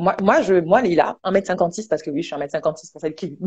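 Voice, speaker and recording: A woman's somewhat breathy, animated voice at a medium pitch. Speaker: online entrepreneur and motivational speaker. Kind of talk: casual talk show chat. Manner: fast.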